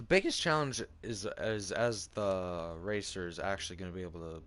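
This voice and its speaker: This man's voice sits at a very deep, low pitch, with ordinary pitch variation. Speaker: video game streamer. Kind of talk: gameplay commentary.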